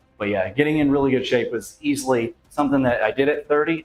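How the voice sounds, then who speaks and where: A man talks at a very fast pace with a fairly high pitch and ordinary pitch variation. Music plays in the background. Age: 40s. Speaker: juggling and fitness streamer. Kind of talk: casual live stream chat. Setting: live stream. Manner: halting, many fillers.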